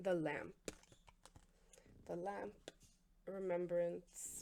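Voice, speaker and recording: Soft-spoken, a woman with a dark, mellow tone takes long, frequent pauses. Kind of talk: ASMR oracle card reading.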